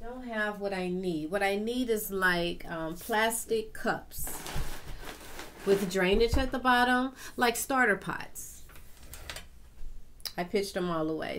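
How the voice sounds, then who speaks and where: Audible room echo surrounds a woman talking at a very slow pace. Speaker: gardening YouTuber. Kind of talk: casual tutorial vlog. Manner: halting, self-correcting.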